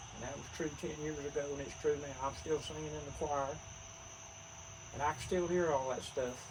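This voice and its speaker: Fairly high male voice in a western North Carolina accent, moderate pace and fairly even intonation, with audible room echo and noticeable background noise. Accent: Southern US (western North Carolina). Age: 70s. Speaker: retired teacher and army veteran. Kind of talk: casual chat.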